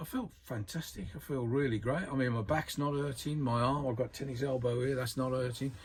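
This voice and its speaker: A man with a medium pitch speaks at a fairly quick pace, somewhat breathy, with ordinary pitch variation. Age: 60s. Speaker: angler reviewing gear. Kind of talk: casual chat. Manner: animated.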